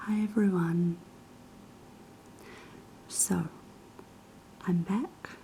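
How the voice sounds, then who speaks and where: A woman is soft-spoken at a medium pitch. Her intonation stays fairly even. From New Zealand. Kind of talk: casual talk to camera.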